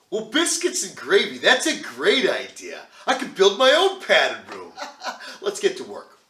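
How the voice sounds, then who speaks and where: The voice is raised and projected at a moderate pace. Its pitch swings very widely and its loudness rises and falls a lot. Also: man, extremely high pitch for a man. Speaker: voice actor. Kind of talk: comedic skit dialogue.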